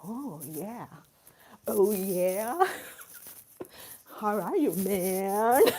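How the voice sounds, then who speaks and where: A put-on character voice with an American accent, sing-song, at a very slow pace with long, frequent pauses. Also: female-sounding voice, medium pitch for a woman. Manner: bouncy, flowing, sing-song.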